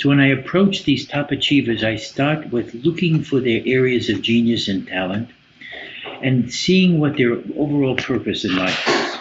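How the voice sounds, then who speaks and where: Speaking at a moderate pace with an American accent, a man uses lively intonation at a medium pitch, with noticeable background noise behind him. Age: 80s+. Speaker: business coach and psychotherapist. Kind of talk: podcast interview.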